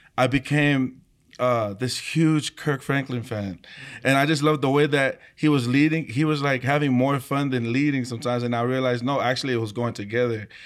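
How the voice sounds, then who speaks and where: A man with a medium pitch talks rather quickly, his intonation mostly level. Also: very clean recording, silent background. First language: Tongan. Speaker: worship leader, singer. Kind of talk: casual chat.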